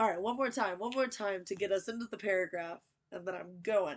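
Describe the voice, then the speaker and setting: Talking at a fairly quick pace, a woman with an American accent has a medium pitch and ordinary pitch variation. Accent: slight Southern US, stronger when tired. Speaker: book channel host. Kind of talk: reading aloud with commentary.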